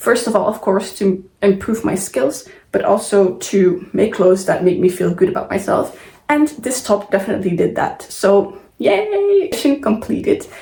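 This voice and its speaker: A woman's medium-pitched voice with a non-native accent, ordinary pitch variation and a moderate pace. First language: not English. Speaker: sewing vlogger. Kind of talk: casual vlog talk to camera. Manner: casual, with hesitations and self-corrections.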